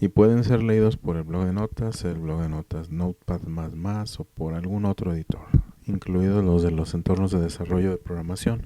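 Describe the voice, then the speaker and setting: A man speaks at a moderate pace in a very deep, low voice with a dark, mellow tone. His intonation stays fairly even, and the sound is dry and close with no echo. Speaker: programming teacher. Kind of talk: lecture. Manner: monotone.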